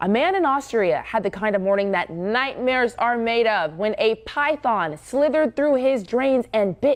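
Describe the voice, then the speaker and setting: A woman speaks at a moderate pace with hardly any pauses, her intonation lively. She has a plain, everyday voice with a fairly high pitch. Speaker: news anchor and reporter. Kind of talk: breaking news anchor read. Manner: urgent, serious.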